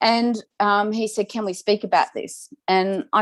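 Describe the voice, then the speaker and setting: A woman with an Australian accent, recorded in a dry, close sound with no echo. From Victoria, Australia. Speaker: domestic violence survivor speaker. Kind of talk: testimony. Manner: halting.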